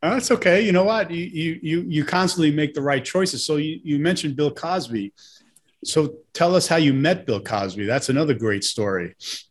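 With an American accent, a man speaks at a fairly high pitch, his voice making very wide pitch swings. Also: moderate pace. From Brooklyn, New York (Bensonhurst). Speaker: podcast host, film producer. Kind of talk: interview.

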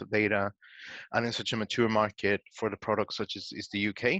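Speaking in a Spanish accent, a man has a fairly low pitch, a bright, sharp tone and a monotone, flat intonation at a moderate pace. The sound is dry and close with no echo over a quiet background. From Guatemala. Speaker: data science manager. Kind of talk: interview.

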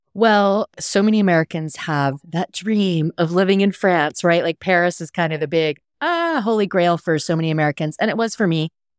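At a moderate pace, a woman with a plain, everyday voice talks at a fairly low pitch with ordinary pitch variation, the sound dry and close with no echo on a very clean recording with a silent background. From US, military family (Texas, England, Hawaii, Washington). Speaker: cocktail writer and podcast host. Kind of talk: casual interview chat.

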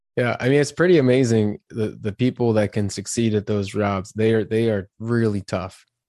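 A man with an unremarkable speaking voice and a medium pitch talks at a moderate pace with hardly any pauses, in a dry, close sound with no echo. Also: ordinary pitch variation. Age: 30s. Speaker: leadership and career coach. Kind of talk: podcast interview.

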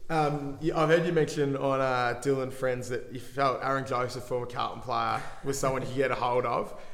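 Over noticeable background noise and audible room echo, a man with an Australian accent speaks with fairly even intonation. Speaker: podcast host. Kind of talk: interview.

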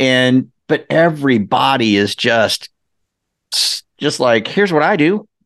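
Dry and close with no echo, a man's medium-pitched voice moves at a fairly slow pace with lively intonation and very even loudness. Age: 60s. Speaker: mortgage industry marketer. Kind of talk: interview. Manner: animated; halting.

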